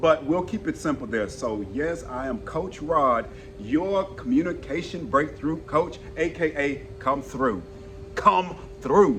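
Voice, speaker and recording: Over noticeable background noise, a man with a fairly high pitch and a strong Southern US accent speaks at a very slow pace with lively intonation. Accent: thick southern. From Texas. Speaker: communication coach. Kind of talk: casual interview chat. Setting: outdoors on the street. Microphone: no mic.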